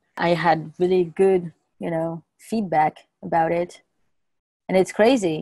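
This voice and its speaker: Heard in a dry sound with no echo, a woman speaks at a fairly low pitch in a dark, mellow tone. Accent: French. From France. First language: French. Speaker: podcast guest. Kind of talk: casual chat. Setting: in person. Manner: halting. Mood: reflective, relieved. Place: home room. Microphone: earbuds.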